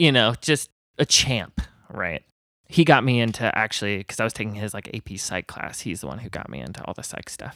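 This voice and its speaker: Fairly quick and lively, a man with an American accent speaks at a fairly low pitch in a bright, sharp tone with vocal fry and big swings in loudness, on a very clean recording with a silent background. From Indiana, US Midwest. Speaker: artist and musician. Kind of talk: casual chat.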